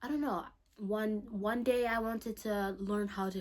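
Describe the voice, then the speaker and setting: A woman with a non-native accent speaks at a very slow pace. Her intonation is fairly even. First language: not English. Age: young. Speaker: vlogger. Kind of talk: personal monologue to camera. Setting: bedroom, salt lamp lighting. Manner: rambling, trails off, halting.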